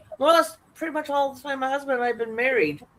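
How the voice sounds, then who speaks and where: Noticeable background noise hums underneath. The words tumble out at a very fast pace. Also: woman. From Canada. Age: 50s. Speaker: livestream crafter. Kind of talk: casual chat.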